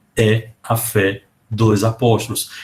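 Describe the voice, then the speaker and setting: A man's fairly low voice has a somewhat breathy quality. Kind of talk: lecture. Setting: video call. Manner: animated.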